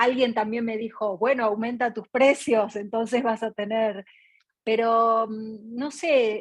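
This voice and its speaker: A woman's monotone, flat delivery at a fairly slow pace, dry and close with no echo, over a quiet background. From Argentina. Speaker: artist, audience participant. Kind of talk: question in online Q&A session.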